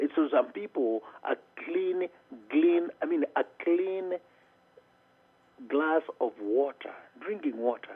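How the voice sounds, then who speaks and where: A man with a Kenyan accent. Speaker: motivational speaker. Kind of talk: interview answer.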